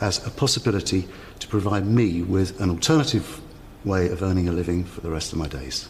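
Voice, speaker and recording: The speech moves at a moderate pace with ordinary pitch variation, with noticeable background noise. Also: man. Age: 50s. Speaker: cooking contestant. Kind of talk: interview.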